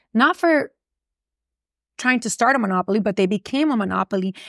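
A woman speaks with a Miami accent at a fairly quick pace. Her pitch is fairly high and varies in an ordinary way. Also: dry, close sound with no echo, very clean recording, silent background. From Miami, Florida. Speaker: personal injury attorney. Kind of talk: casual interview chat. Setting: office studio.

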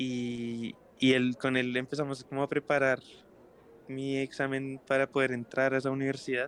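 A medium-pitched man with a Bogotá accent and monotone, flat intonation. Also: moderate pace. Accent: Bogotá Colombian Spanish. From Bogotá, Colombia. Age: 20s. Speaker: singer-songwriter. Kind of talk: casual interview chat.

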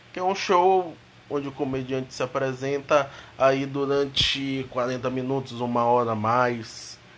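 This man has a plain, everyday voice at a medium pitch. He speaks at a fairly slow pace with fairly even intonation. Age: 20s. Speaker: comedian. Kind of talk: casual monologue. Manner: casual slangy.

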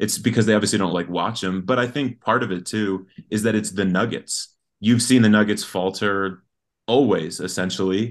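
In a normal speaking voice over a quiet background, the speech runs at a moderate pace with fairly even intonation. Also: man, fairly low pitch for a man. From Colorado, US. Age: 20s. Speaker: sports fan guest. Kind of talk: casual chat.

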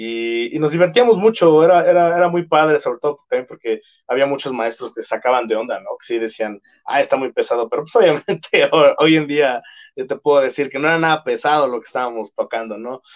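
Lively intonation and fairly high pitch from a man, an ordinary speaking voice. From Mexico, Estado de México. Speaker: metal band vocalist. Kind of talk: casual interview chat.

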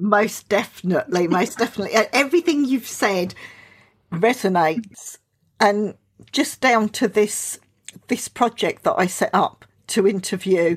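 A woman speaks at a moderate pace with a fairly high pitch and lively intonation. Her loudness stays very even, in an unremarkable speaking voice. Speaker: podcast host. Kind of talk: casual interview.

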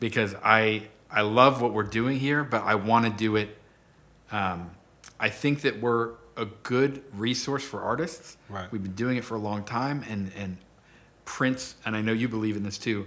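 In an American accent, the voice has a bright, sharp tone and a moderate pace. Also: man, medium pitch for a man, fairly even intonation. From Orange County, California. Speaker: business owner. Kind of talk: casual chat.

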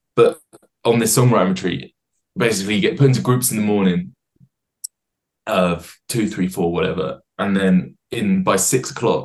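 Speaking with an English accent, the voice moves at a moderate pace with lively intonation. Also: man. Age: 20s. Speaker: singer-songwriter. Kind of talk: casual chat. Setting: video call.

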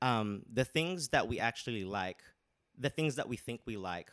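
A man speaks with ordinary pitch variation. The sound is dry and close with no echo, in a very clean recording over a silent background. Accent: Australian. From Australia. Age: 30s. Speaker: podcast guest. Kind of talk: casual chat.

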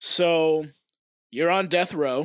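Here a man speaks at a very slow pace. His pitch is fairly high, with ordinary variation. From Oklahoma. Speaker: podcast co-host. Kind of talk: casual chat. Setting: remote recording from home.

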